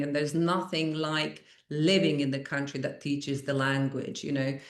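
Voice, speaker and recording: With a Croatian accent and a very deep, low pitch, a woman speaks at a moderate pace in a monotone, flat way, with audible room echo. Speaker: language school owner. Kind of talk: podcast interview.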